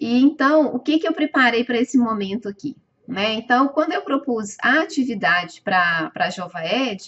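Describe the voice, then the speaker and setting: A speaker with a strong Minas Gerais accent talks at a moderate pace, the pitch swinging very widely. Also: woman. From Minas Gerais, Brazil. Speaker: webinar presenter and educator. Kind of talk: live webinar presentation. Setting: online webinar. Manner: hesitant, many filler sounds.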